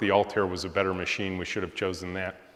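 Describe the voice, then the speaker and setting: A man speaks with a Midwestern American accent. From Michigan, Macomb County near Detroit. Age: 60s. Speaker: software company founder and CEO. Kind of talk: guest lecture.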